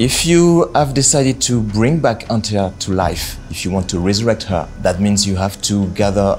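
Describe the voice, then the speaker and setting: Over music in the background, a man speaks at a moderate pace with a fairly low pitch. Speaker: game narrative director. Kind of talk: interview answer.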